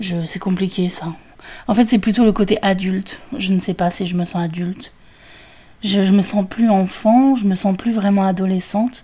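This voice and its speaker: The voice has a dark, mellow tone and sounds somewhat breathy. Its intonation stays fairly even. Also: woman, medium pitch for a woman, moderate pace. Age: 30s. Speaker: podcaster. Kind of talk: solo monologue. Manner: halting.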